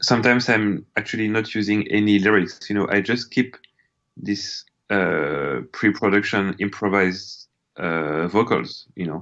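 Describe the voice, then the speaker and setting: With a French accent, a man speaks at a fairly low pitch. His pitch variation is ordinary. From France. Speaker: musician. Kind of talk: interview. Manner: hesitant, many fillers.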